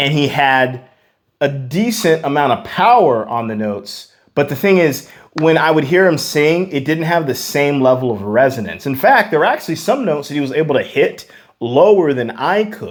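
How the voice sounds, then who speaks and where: This man has a plain, everyday voice, fairly high in pitch. His intonation is lively and his pace moderate. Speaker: vocal coach. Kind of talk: tutorial. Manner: casual, many fillers.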